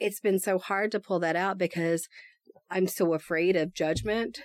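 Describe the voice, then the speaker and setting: Her intonation monotone and flat, a woman with an American accent speaks at a medium pitch. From East Texas. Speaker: podcaster. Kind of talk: casual chat.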